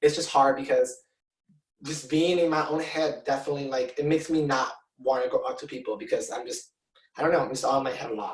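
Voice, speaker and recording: With a Spanish accent, a man speaks very fast at a fairly high pitch with fairly even intonation. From Mexico. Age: 20s. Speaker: drag performer. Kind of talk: interview. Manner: halting, many fillers.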